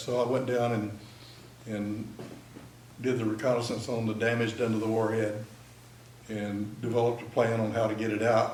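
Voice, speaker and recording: With a Texan accent, a man speaks at medium pitch and a moderate pace in a monotone, flat delivery, leaving long, frequent pauses amid noticeable background noise and audible room echo. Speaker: military veteran. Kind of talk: talk to an audience.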